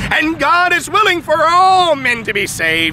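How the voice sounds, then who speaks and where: Over noticeable background noise, a man speaks with very wide pitch swings in a dry sound with no echo. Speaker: preacher. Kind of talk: sermon. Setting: outdoors. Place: open country. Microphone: handheld.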